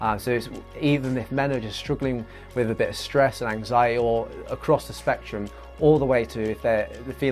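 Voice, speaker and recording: At a fairly quick pace and with ordinary pitch variation, the speaker talks while music plays in the background. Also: man. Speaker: podcast host. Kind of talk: podcast intro.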